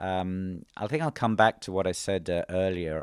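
The speaker has a London accent. The pace is fairly slow. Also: man. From London, England. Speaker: bank executive. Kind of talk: interview. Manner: hesitant, many fillers.

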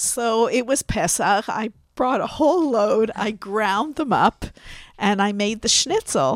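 A woman with a plain, everyday voice speaks fairly slowly at a fairly high pitch with lively intonation, in a dry, close sound with no echo. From Canada. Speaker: podcast guest, grandmother. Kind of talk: casual interview. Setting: studio.

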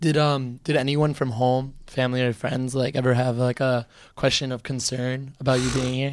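A man with an American accent speaks at a medium pitch and a moderate pace. His intonation is monotone and flat. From Boston. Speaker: student podcast host. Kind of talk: casual interview. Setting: studio.

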